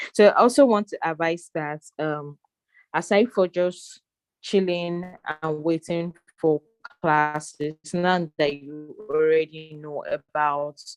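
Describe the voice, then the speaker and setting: A very slow pace over music in the background. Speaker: cybersecurity instructor. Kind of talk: online class lecture. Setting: video call. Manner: hesitant, many fillers.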